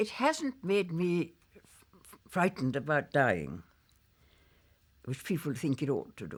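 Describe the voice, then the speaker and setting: Vocal fry at a fairly slow pace, with very wide pitch swings, on a very clean recording with a silent background. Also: woman. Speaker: memoirist and former publisher. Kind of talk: interview answer.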